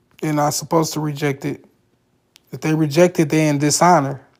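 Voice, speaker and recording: A man's fairly high voice at a fairly quick pace. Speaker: social media livestreamer. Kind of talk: livestream chat and tutorial. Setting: livestream.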